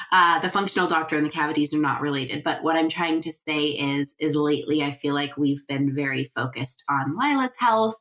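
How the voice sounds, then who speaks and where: A woman talks at a fairly quick pace with hardly any pauses, in a very deep, low voice with ordinary pitch variation. Noticeable background noise is present. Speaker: podcast host and sleep consultant. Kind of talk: casual podcast monologue. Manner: chatty, relaxed.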